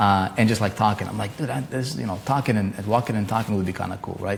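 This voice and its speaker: A man with a non-native accent speaks in a fairly low pitch over noticeable background noise. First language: not English. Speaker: online marketing coach, live streamer. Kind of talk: live stream talk. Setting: live stream. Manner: casual, many fillers and repetitions.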